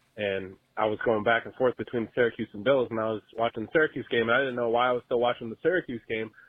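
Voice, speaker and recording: A man's very fast, medium-pitched voice with an upstate New York accent. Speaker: caller, sports fan. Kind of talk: voicemail. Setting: phone call.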